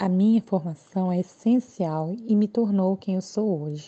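A woman speaks with a medium-pitched voice. It is an unremarkable speaking voice. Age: 20s. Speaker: special education teacher. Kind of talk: interview.

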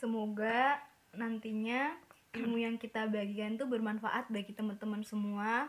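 A woman speaks at a moderate pace in a fairly high pitch, her intonation fairly even.

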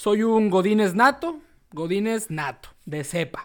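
The recording is very clean, with a silent background. A man talks in a high voice at a fairly slow pace. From Tijuana, Mexico. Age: 30s. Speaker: podcast co-host, university lecturer, football radio commentator. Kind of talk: casual chat.

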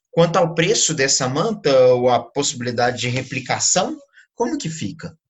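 A somewhat breathy man's voice, fairly high in pitch, with lively intonation at a moderate pace. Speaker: podcast host. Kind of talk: interview.

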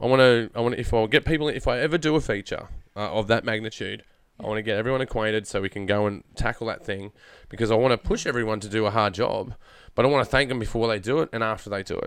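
Speaking fairly quickly at a medium pitch, a man with a rural Australian accent shows ordinary pitch variation on a very clean recording with a silent background. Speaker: podcast host, filmmaker and voice actor.

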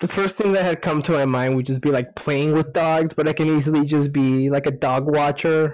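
Someone with a plain, everyday voice talks at a fairly quick pace with fairly even intonation. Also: man. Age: 20s. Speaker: podcast guest. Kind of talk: casual chat. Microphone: echo.

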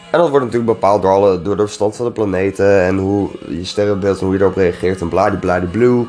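A man talks very fast with hardly any pauses, in a fairly low voice with fairly even intonation. Noticeable background noise runs underneath. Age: 20s. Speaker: podcast host. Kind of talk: solo casual monologue. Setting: home recording at night, music in background. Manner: rambling, halting with many fillers.

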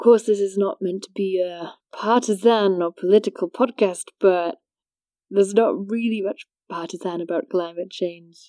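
This voice has a dark, mellow tone and a Welsh accent, with ordinary pitch variation and a dry, close sound with no echo. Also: woman, medium pitch for a woman, moderate pace, very clean recording, silent background. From rural Wales. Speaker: podcast host. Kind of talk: scripted narration.

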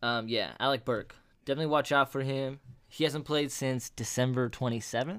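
In a very clean recording with a silent background, a man with an ordinary speaking voice talks at a fairly quick pace, his medium pitch carried by fairly even intonation. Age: 20s. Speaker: sports podcast co-host. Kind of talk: casual chat.

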